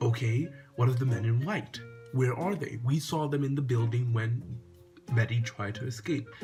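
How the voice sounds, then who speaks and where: With music in the background, a man talks at a medium pitch and a moderate pace. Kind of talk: casual review talk to camera.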